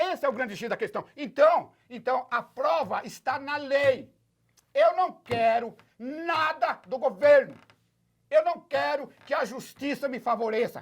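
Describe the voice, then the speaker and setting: A man talks in an animated tone at an extremely high pitch. He keeps ordinary pitch variation and a fairly slow pace. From Brazil, Osasco (São Paulo). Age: 70s. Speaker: retiree and activist. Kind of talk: interview.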